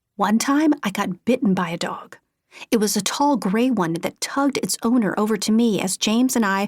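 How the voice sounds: A natural reading voice with ordinary pitch variation against a quiet background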